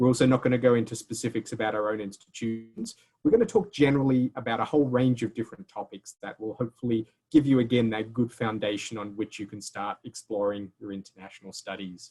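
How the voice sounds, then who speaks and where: At a very fast pace with hardly any pauses, a man of medium pitch talks in a dark, mellow tone with fairly even intonation, big swings in loudness and a dry, close sound with no echo. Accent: Australian. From Australia. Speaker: university admissions representative. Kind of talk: webinar presentation. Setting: video call.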